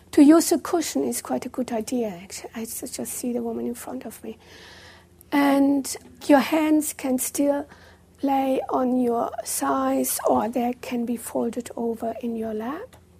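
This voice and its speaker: A woman at a fairly slow pace, her loudness swinging widely. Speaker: meditation teacher. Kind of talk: guided meditation. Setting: live retreat room with in-person audience. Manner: calm, slow and gently paced, with long pauses; soft-spoken and instructive.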